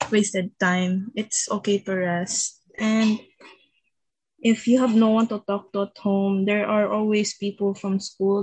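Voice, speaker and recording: Breathy in some measure, a woman with a Visayan Filipino accent speaks at medium pitch. Her delivery is fairly slow, with monotone, flat intonation. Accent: Filipino (Cebuano) English. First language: Cebuano. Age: 20s. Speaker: university student. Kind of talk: casual chat.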